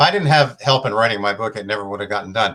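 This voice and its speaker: The tone is bright and sharp, with ordinary pitch variation. The pace is very fast. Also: man. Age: 60s. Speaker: author. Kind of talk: interview.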